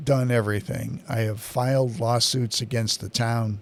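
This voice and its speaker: An ordinary speaking voice from a man at a medium pitch, at a fairly slow pace with fairly even intonation. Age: 60s. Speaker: local public-access TV host and town activist. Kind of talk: political commentary monologue. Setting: studio.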